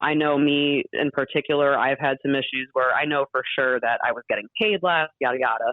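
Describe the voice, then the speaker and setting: Speaking at a fairly quick pace with an American accent, the voice keeps very even loudness and ordinary pitch variation. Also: woman, very deep, low pitch for a woman, hardly any pauses. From Massachusetts. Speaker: music industry social media manager. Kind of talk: interview. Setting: phone call.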